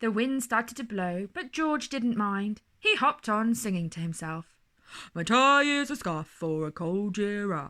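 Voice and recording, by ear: A passage is read aloud in a natural voice, the intonation rising and falling in a lively way.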